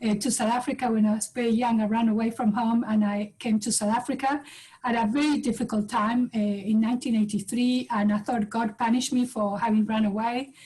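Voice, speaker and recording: Speaking fairly quickly, a woman uses a fairly high pitch, a dark, mellow tone and flat, monotone intonation. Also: hardly any pauses. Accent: Uruguayan. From Uruguay. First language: Spanish. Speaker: professor and business leader. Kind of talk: panel webinar talk.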